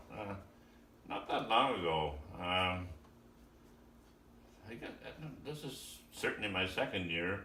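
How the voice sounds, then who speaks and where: Over noticeable background noise, a man with a very deep, low pitch speaks at a fairly slow pace with lively intonation and long, frequent pauses. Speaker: retired farmer and amateur guitarist. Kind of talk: casual conversation with a relative, filmed at home.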